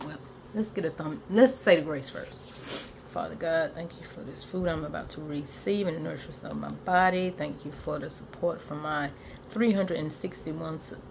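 Speaking at a moderate pace, a woman with fairly low pitch and ordinary pitch variation is heard over light background noise. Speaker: food vlogger. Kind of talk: casual vlog chat. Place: home room. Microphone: phone near.

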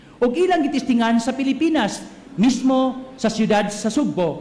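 Someone shouts in an animated tone with lively intonation. The pace is fairly quick. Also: man. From Cebu, Philippines. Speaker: priest giving homily. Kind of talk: homily at Mass, sermon with congregation call-and-response. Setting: church Mass with congregation. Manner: animated, humorous, joking with crowd, shouting call-outs, code-switching Cebuano-English. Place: church. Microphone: podium.

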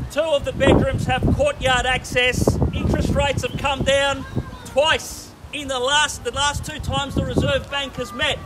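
A man speaks with an Australian accent. Loud background noise is present. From Australia (Melbourne). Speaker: real estate auctioneer. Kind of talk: rapid-fire auction bid calling. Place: street. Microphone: camera far.

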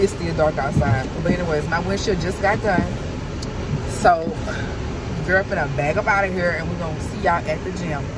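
A woman speaks at a fairly quick pace over loud background noise, in a dry sound with no echo. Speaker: mom vlogger. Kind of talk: casual vlog chat. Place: car. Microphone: phone near.

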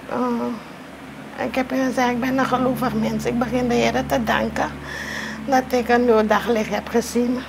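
A woman speaks fairly slowly while noticeable background noise plays behind her. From Suriname. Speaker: teacher and artist. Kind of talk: interview. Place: home room.

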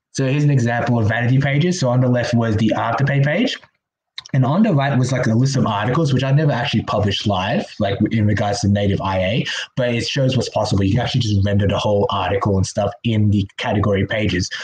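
A man speaks at a fast pace with a fairly low pitch and ordinary pitch variation. His tone is slightly mellow with a slightly husky edge.

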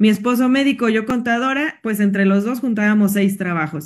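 Against a quiet background, a woman speaks at a moderate pace in a somewhat breathy voice. Her pitch is fairly high, with ordinary variation. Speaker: accountant and network marketing consultant. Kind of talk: personal testimony. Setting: video call.

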